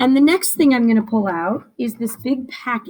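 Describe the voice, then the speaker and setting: A woman's fairly high, somewhat breathy voice, with lively intonation and a fairly slow pace. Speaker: teacher. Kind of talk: tutorial.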